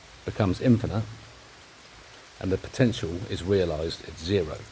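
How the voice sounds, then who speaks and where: Over noticeable background noise, a man with an English accent speaks at a moderate pace with ordinary pitch variation. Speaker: amateur science video maker. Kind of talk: monologue explanation. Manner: halting.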